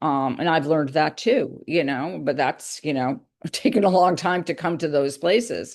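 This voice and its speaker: A woman talks at a moderate pace in a very deep, low pitch. Her intonation is lively, and the background is quiet. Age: 60s. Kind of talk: casual chat.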